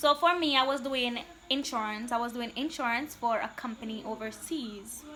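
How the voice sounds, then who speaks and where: A woman talks in a Jamaican accent with a high pitch and ordinary pitch variation. Her tone is animated and her pace moderate. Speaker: vlogger. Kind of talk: casual chat.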